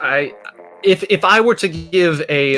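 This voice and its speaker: A man's voice amid noticeable background noise. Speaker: esports commentator. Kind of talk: live commentary.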